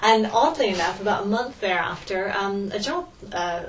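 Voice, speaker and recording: With audible room echo and noticeable background noise around her, a woman talks at a medium pitch, her pitch variation ordinary. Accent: American. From California, US. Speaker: history lecturer. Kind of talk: interview. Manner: hesitant, many fillers.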